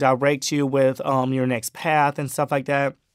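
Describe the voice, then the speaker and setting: In a very clean recording with a silent background, a normal speaking voice with an American accent talks at a moderate pace. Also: man. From Miami, Florida and Brunswick, Georgia. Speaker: social media creator. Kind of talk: casual chat.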